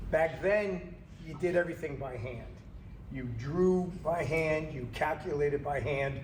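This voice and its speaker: Fairly high pitch from a man, with noticeable background noise and audible room echo. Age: 60s. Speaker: HVAC engineer and company trainer. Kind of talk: training lecture. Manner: casual, conversational.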